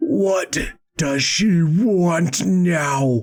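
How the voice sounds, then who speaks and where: A man speaks in a put-on character voice pitched high. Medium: read story. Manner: terse, ominous.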